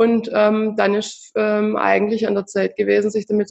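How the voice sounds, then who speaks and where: Here a woman speaks at a fairly slow pace. Her pitch is medium. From southern Germany. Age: 30s. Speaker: founder of a financial education project for children, mother. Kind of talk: interview. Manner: halting, many filler sounds.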